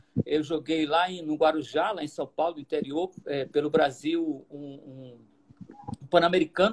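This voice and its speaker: A man speaks at a fairly slow pace with a fairly high pitch, fairly even intonation and big swings in loudness. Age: 60s. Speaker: basketball coach and professor. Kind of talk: interview. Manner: halting, many repetitions.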